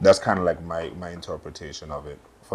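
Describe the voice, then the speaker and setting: A man is speaking. He has a Caribbean accent. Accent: Caribbean, compared to a West African artist. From US Virgin Islands, Saint Thomas. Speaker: artist. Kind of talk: casual chat.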